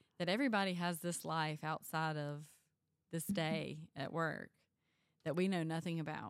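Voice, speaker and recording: A woman with a Mississippi accent talks at a fairly slow pace in a fairly low pitch. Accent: Mississippi Southern. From US South. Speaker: school nutrition director. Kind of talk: casual chat. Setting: in person.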